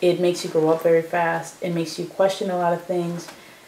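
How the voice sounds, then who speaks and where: With an American accent, a woman speaks at a fairly low pitch and a moderate pace. Background noise is noticeable. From Chicago, Illinois. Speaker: oral history interviewee. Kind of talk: oral history interview. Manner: casual, many fillers.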